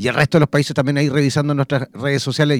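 A man with a fairly high pitch talks at a very fast pace, the sound dry and close with no echo. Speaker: radio host. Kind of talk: call-in radio show. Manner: animated.

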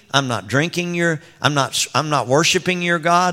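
A man with a Texan accent has a bright, sharp tone at a fairly high pitch, with ordinary pitch variation and a moderate pace, in a very clean recording over a silent background. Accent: Texan Southern US. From West Texas (Odessa). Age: 60s. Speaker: pastor. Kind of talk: sermon shifting into fervent spoken prayer addressed to God. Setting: church stage with congregation, handheld microphone. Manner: earnest, pleading prayer cadence building with conviction; repetitive, stumbling restarts as he speaks off the cuff.

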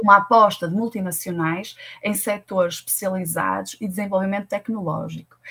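Using a normal speaking voice, a woman speaks at a fairly quick pace with a medium pitch and fairly even intonation. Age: 30s. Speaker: tech recruitment consultant. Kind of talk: interview.

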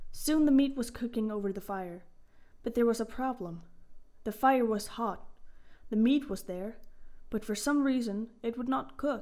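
A woman with a fairly high pitch uses a dramatic tone that is also dark and mellow. The recording is very clean, with a silent background. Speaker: podcast host and storyteller. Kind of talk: mythic storytelling narration, read aloud from a retelling. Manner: expressive storyteller, with dramatic character lines; friendly, casual intro and outro.

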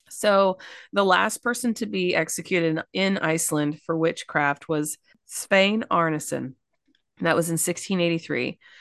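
Fairly slow delivery in a Kentucky accent, with ordinary pitch variation over a quiet background. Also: woman, fairly low pitch for a woman. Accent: Kentucky Southern. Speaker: podcast co-host. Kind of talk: casual storytelling chat.

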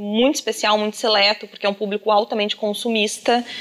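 Against noticeable background noise, a woman with a southern Brazilian accent speaks at a fairly quick pace. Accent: gaúcho Brazilian Portuguese. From southern Brazil, Rio Grande do Sul. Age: 30s. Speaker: makeup artist and influencer. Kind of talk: casual interview. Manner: animated.

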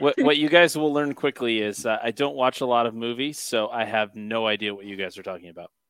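A normal speaking voice from a man, fairly quick, medium-pitched and with ordinary pitch variation. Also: big swings in loudness. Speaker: podcast producer. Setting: piped in remotely to the show.

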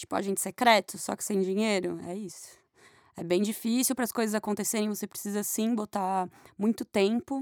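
This is a woman with a normal speaking voice at a medium pitch, showing ordinary pitch variation. She talks at a fairly quick pace on a very clean recording with a silent background. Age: 30s. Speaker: singer and guitarist. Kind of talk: casual chat.

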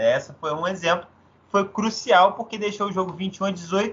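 A high-pitched man at a moderate pace. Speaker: sports podcast host. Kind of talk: casual sports chat.

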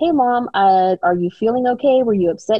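Lively intonation marks this woman's fairly high voice. She has an ordinary speaking voice and moves at a fairly quick pace. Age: 40s. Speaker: podcast guest, host's sister. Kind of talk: casual interview conversation. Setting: at home, remote interview.

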